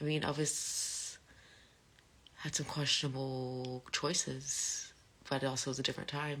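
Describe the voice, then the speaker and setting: A woman mumbles softly in a very deep, low voice with monotone, flat intonation. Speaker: live streamer. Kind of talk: casual chat. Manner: soft-spoken; mumbling.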